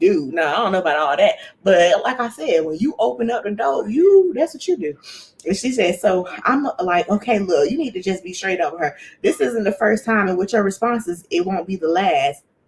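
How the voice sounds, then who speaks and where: Her voice is medium-pitched and somewhat breathy, moving at a moderate pace. This woman sounds animated, with very wide pitch swings. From US inner city. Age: 30s. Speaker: YouTuber giving relationship advice. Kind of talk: casual chat reacting to read-out posts. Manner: informal, animated.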